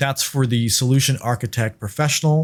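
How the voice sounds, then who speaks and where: On a very clean recording with a silent background, a man with a non-native accent talks with ordinary pitch variation. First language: not English. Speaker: cloud engineer, podcast host. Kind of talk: tutorial.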